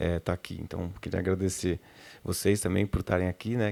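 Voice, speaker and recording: In a very deep, low voice, a man speaks at a fairly quick pace with monotone, flat intonation. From Rio de Janeiro. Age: 30s. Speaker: sound professional. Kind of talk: panel talk.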